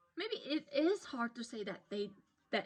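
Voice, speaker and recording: Woman with a non-native accent, high pitch with very wide pitch swings, at a fairly slow pace. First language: not English. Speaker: vlogger. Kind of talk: personal advice monologue. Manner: halting, repeats words.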